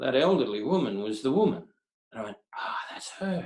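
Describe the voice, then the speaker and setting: The voice has a dark, mellow tone with vocal fry, very wide pitch swings and a fairly quick pace. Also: man. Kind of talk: interview answer, personal storytelling.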